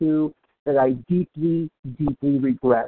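Here is a man with a fairly high voice and ordinary pitch variation. It is a normal speaking voice. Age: 60s. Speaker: twelve-step meeting member. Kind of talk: testimony.

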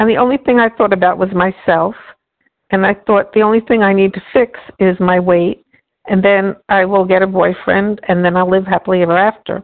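Her medium-pitched voice moves at a fairly quick pace, with monotone, flat intonation and very even loudness. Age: 60s. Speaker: support group member. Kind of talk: testimony. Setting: phone call.

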